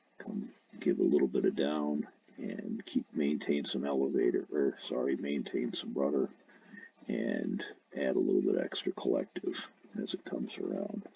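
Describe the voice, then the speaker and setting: A soft-spoken man at a moderate pace. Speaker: RC helicopter hobbyist. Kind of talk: tutorial.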